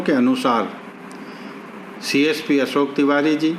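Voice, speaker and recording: A man speaks at a fairly high pitch for a man. There is audible room echo and noticeable background noise. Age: 70s. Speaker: local elder / citizen giving public appeal. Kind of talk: public appeal statement.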